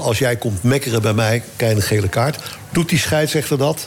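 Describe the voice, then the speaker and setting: Noticeable background noise sits behind a man speaking at a moderate pace, with a medium pitch and ordinary pitch variation. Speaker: former football association chairman. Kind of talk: casual chat.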